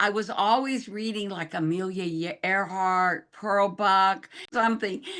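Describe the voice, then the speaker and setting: With an American accent, a woman speaks at a medium pitch in a bright, sharp tone. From Oklahoma, US. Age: 80s+. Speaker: documentary photographer and missionary. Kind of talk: interview. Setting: video call. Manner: halting, many fillers.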